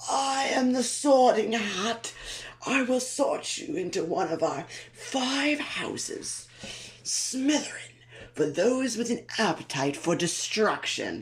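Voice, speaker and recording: A put-on character voice, strained and wheezy, pitched fairly high and delivered at a fairly slow pace. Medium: read story. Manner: pompous announcing.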